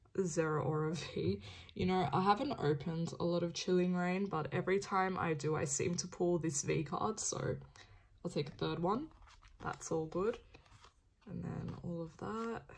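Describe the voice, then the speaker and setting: A woman speaks in a relaxed, somewhat breathy tone. Her pitch is fairly low. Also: ordinary pitch variation, moderate pace. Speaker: card opening youtuber. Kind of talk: casual unboxing commentary. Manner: casual, relaxed.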